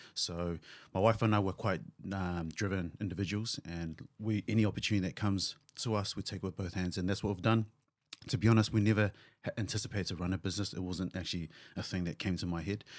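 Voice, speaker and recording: Recorded very cleanly against a silent background, a man with a New Zealand accent talks at a very fast pace in a very deep, low voice with fairly even intonation. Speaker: physiotherapist and clinic owner. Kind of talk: podcast interview.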